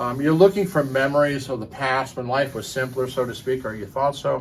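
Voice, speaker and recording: Here a man talks at a moderate pace. His pitch sits fairly high. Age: 60s. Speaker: hi-fi audio commentator. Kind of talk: casual opinion monologue. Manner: hesitant, many fillers.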